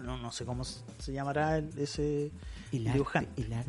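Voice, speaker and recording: A man with a Chilean accent speaks at a moderate pace in a fairly high pitch. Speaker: podcast co-host. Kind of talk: casual chat.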